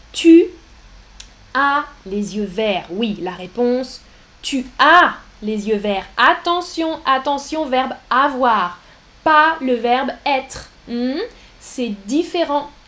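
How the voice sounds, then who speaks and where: Speaking at a very slow pace with long, frequent pauses, a woman uses lively intonation at a high pitch. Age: 30s. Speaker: French language teacher. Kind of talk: live-streamed language lesson. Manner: slow, repetitive, clearly articulated; animated, frequent laughter.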